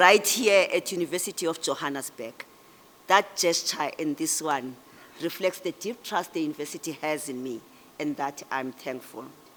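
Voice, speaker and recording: The voice has a South African accent and very wide pitch swings. It moves at a moderate pace. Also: woman. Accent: Xhosa South African English. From South Africa, Eastern Cape. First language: isiXhosa. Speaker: public official and guest speaker. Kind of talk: ceremonial speech.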